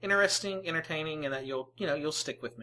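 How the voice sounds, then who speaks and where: In a strong Mississippi accent, a woman talks with a very deep, low pitch, a bright, sharp tone and ordinary pitch variation. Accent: thick Mississippi. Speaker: gaming video creator. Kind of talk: let's play commentary. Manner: hesitant, many fillers.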